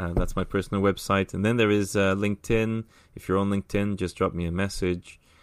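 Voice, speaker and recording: A man talks at a fairly quick pace with fairly even intonation in a very clean recording with a silent background. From Brazil, São Paulo. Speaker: automation and AI executive. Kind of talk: casual interview. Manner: uses many fillers.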